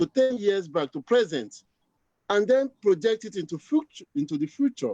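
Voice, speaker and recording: Very wide pitch swings run through a dark, mellow tone, recorded with a dry, close sound and no echo. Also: man. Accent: Nigerian. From Nigeria. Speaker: chartered accountant, community leader. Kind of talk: panel discussion.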